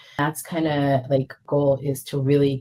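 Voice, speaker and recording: A woman with an American accent, very deep and low in pitch, somewhat breathy, at a fairly slow pace. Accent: American-sounding. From Israel, English-speaking environment. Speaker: real estate investor. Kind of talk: podcast interview.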